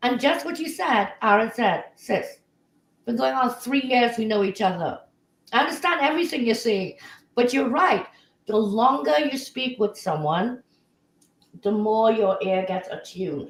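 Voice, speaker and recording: A woman with a slight Trinidadian accent speaks at a moderate pace, her pitch swinging very widely, with long, frequent pauses. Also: fairly high pitch for a woman. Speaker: talk show co-host. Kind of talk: live talk show.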